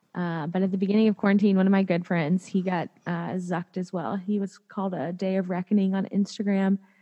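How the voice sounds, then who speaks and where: A somewhat breathy, dark, mellow tone at a fairly quick pace, with fairly even intonation, hardly any pauses, and dry, close sound with no echo. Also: woman, medium pitch for a woman. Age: 30s. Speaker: attorney and podcaster. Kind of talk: casual interview chat.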